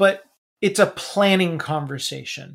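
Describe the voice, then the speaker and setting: In a very clean recording with a silent background, a man with an American accent and an ordinary speaking voice talks at a fairly slow pace, his pitch varying in an ordinary way. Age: 30s. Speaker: financial advisor and author. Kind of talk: interview.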